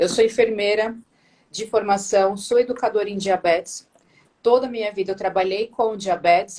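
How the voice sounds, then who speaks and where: A woman with an ordinary speaking voice, fairly high in pitch, at a fairly quick pace. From Brazil, Santo André (São Paulo ABC region). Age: 30s. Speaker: nurse and diabetes educator. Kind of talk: live-stream interview.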